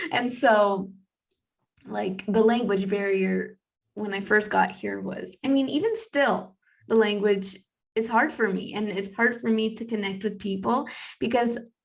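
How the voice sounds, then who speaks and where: In an American accent, a woman speaks at medium pitch with fairly even intonation. Hers is an unremarkable speaking voice. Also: fairly slow pace. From United States. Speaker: podcast co-host. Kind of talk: casual chat.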